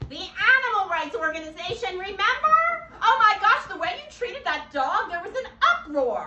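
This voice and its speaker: Someone uses a put-on character voice at an extremely high pitch and a moderate pace. Clear background noise and a slight echo sit behind it. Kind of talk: talk show host. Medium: stage play.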